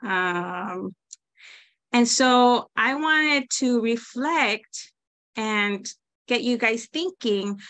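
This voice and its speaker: A woman speaks with a Spanish accent at a fairly high pitch. Her tone is bright and sharp, and the background is quiet. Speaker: teacher. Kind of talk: presentation.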